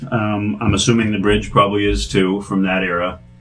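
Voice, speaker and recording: Audible room echo and noticeable background noise around speech at a fairly quick pace. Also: man. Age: 50s. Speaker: guitar restorer. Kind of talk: product demo. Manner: casual.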